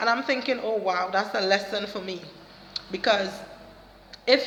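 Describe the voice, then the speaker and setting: With a Trinidadian accent, a woman speaks at a medium pitch with ordinary pitch variation, amid audible room echo and noticeable background noise. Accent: Trinidadian Caribbean. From Trinidad and Tobago. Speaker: motivational vlogger and counselor. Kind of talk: motivational talk to camera. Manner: hesitant fillers.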